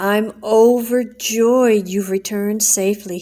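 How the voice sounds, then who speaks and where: A woman's put-on character voice, fairly high in pitch, flat and monotone, at a fairly slow pace. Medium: read story.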